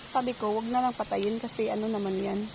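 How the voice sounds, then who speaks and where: A woman speaks with fairly even intonation. Noticeable background noise sits behind her voice. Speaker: vlogger, ESL teacher and home gardener. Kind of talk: casual garden vlog. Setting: outdoors in garden. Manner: casual, halting with fillers.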